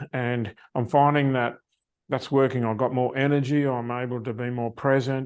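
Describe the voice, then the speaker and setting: Here a man with an Australian accent speaks at a moderate pace and medium pitch. His intonation is fairly even, and the background is quiet. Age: 70s. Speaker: success coach. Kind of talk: interview.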